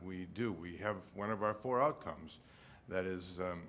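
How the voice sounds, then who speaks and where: In an American accent, a man speaks with ordinary pitch variation. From northern Wisconsin. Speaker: political candidate. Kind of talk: candidate forum answer. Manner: hesitant, many fillers.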